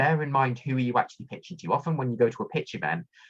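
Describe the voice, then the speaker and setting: A man's medium-pitched voice with vocal fry at a very fast pace, over a quiet background. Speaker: workshop presenter, academic. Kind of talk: online workshop presentation.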